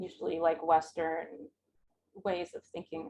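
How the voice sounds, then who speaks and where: A woman is speaking. Her pace is fairly slow. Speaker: digital humanities scholar. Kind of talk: Q&A after lecture. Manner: hesitant with many fillers.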